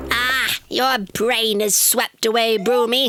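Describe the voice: A cartoonish character voice sounds female, with a fairly high pitch. It moves at a fairly slow pace with monotone, flat intonation.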